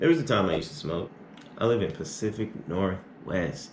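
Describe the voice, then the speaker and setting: Fairly low-pitched, a man with an American accent speaks amid audible room echo. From Arizona. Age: 20s. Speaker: YouTuber. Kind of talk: Q&A vlog. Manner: casual.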